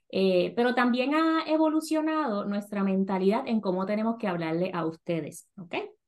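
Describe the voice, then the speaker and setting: Her intonation is lively. The woman speaks with a fairly high pitch. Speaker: podcast host, personal finance educator. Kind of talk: casual chat.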